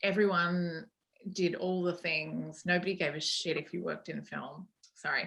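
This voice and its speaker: A woman with an Australian accent, at a moderate pace and with monotone, flat intonation. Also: fairly low pitch for a woman. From Australia, Sydney. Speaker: sound editor. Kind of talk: interview.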